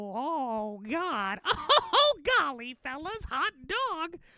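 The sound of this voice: This is a put-on character voice, squeaky and high-pitched with very wide pitch swings. It moves at a very slow pace.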